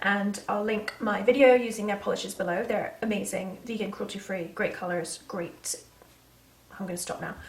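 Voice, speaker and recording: A woman with an American accent speaks at medium pitch and a moderate pace. Her intonation is fairly even, with noticeable background noise behind her. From England. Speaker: beauty vlogger. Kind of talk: casual makeup tutorial talk to camera.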